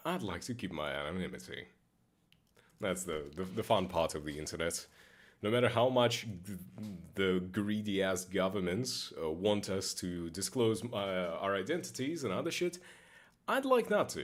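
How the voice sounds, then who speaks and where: Lively intonation marks this moderate-paced speech, which has long, frequent pauses. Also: man, very deep, low pitch for a man. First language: not English. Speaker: game streamer. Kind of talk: casual gaming stream chat. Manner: occasional slurring; casual, halting with repetitions.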